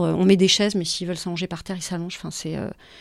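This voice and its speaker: This woman's medium-pitched voice, with fairly even intonation, comes through on a very clean recording against a silent background. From Paris, France. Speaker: founder of a children's conference series. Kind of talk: casual interview. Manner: hesitant, many fillers.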